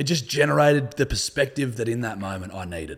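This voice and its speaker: In an Australian accent, a man talks at a fairly quick pace and medium pitch, his voice somewhat breathy and his tone relaxed. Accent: Australian, fairly broad. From northern New South Wales, Australia. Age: 30s. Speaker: podcaster and comedian. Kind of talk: casual chat, podcast interview. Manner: swears a lot, relaxed.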